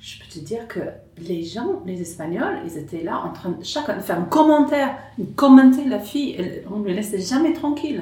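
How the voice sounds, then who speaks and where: Amid noticeable background noise and audible room echo, a woman with an English accent speaks with very wide pitch swings. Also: fairly high pitch for a woman, moderate pace. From rural England. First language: English (speaking French). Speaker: stand-up comedian. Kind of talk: casual chat. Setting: at home.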